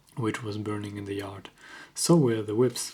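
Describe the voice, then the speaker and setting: A man whispers. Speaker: ASMR creator. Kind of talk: ASMR book reading. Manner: whispered.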